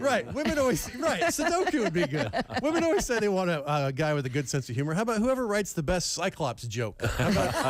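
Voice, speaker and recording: A man speaks at a very fast pace with hardly any pauses, his high pitch swinging very widely at very even loudness over noticeable background noise. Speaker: comedian. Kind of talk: comedy monologue on radio show.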